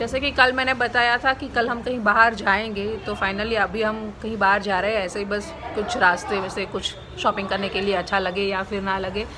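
Over crowd noise in the background, a woman speaks at a moderate pace with fairly even intonation. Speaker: vlogger. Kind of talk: casual vlog chat. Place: home room. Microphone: phone near.

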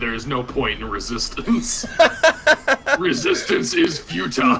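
A man puts on a robotic character voice at a moderate pace. Background noise is clearly audible. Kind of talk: automated. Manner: mechanical, robotic.

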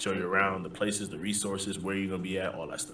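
A man with a New York accent speaks in a very deep, low voice. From US Northeast (the Bronx, New York). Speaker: army drill sergeant. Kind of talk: casual chat. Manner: animated.

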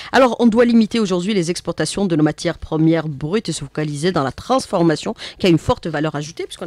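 Her sound dry with no echo, a woman speaks very fast with lively intonation and big swings in loudness. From Algeria. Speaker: radio host. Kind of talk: radio interview. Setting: studio. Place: studio. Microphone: studio mic.

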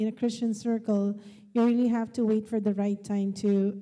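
A woman's fairly high, dark, mellow voice at a moderate pace over a quiet background. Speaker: high school teacher and panelist; high school teacher, panelist. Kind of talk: panel discussion. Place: church. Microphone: handheld.

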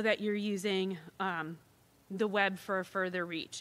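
A woman talks at a moderate pace, heard in a very clean recording with a silent background. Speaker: university financial aid officer. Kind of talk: informational presentation. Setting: school auditorium with live audience and livestream. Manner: efficient, brisk pace.

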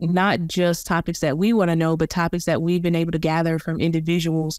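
This is a woman speaking. Her pitch is fairly low. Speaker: podcast host. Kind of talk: casual chat.

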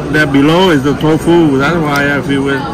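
Against clear background noise, a man speaks at a moderate pace and a fairly high pitch with fairly even intonation.

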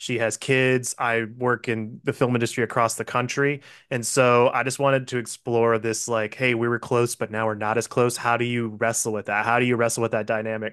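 With a quiet background, a man speaks fairly quickly in a monotone, flat intonation, barely pausing. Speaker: film director. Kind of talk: interview. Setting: video call. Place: home room. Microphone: studio mic.

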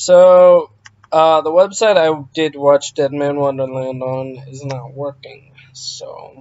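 A quiet man with a fairly high pitch speaks at a very slow pace. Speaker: YouTuber. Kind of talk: vlog storytime. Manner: quiet, subdued.

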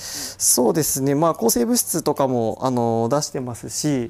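An unremarkable speaking voice from a man, medium in pitch, moderate in pace, with ordinary pitch variation. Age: 30s. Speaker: aquarium veterinarian. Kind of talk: interview.

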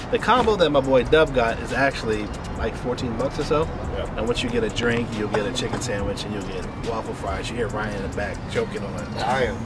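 With clear music in the background, a man talks at a fairly quick pace with ordinary pitch variation in a dry sound with no echo. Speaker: food vlogger. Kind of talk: casual food review chat. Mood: amused, feeling the spice. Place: street.

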